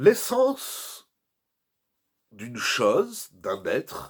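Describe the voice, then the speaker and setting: A man's voice with vocal fry. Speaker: rabbi. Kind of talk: Torah lecture. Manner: soft-spoken.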